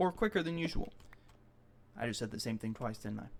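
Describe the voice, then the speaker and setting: A man speaks with lively intonation. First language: not English. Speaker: video blogger. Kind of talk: personal audio log. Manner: halting, with false starts.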